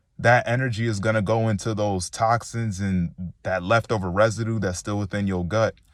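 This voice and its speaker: A man with a fairly low voice and an animated tone speaks at a moderate pace with hardly any pauses, in a very clean recording with a silent background. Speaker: spiritual motivational speaker. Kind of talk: motivational monologue.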